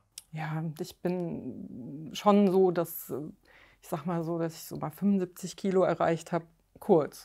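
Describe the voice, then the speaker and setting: In a very clean recording with a silent background, a woman speaks at a very slow pace in a fairly low pitch, her tone dark and mellow, with ordinary pitch variation and big swings in loudness. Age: 50s. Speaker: weight-loss coaching client. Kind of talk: interview. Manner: halting, many fillers.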